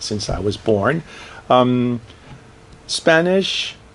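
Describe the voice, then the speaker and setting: A man talks at a very slow pace, his pitch swinging very widely. Background noise is noticeable. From Brazil. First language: Portuguese. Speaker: professor. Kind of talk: interview.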